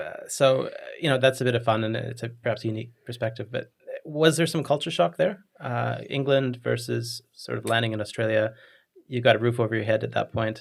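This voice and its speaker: The man's voice has vocal fry and sits at a medium pitch. He moves at a fairly quick pace with ordinary pitch variation. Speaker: podcast host. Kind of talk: podcast interview.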